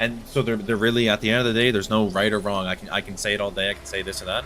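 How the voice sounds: Over noticeable background noise, a man with an East Coast accent talks at a very fast pace, his fairly low voice keeping a fairly even intonation.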